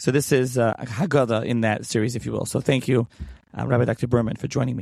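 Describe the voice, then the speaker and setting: A man with vocal fry talks at a very fast pace, medium in pitch, with fairly even intonation. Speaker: podcast host. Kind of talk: interview.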